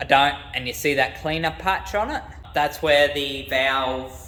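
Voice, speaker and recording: A man with an Australian accent at a fairly slow pace, with audible room echo. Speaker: car mechanic youtuber. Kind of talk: tutorial. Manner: casual.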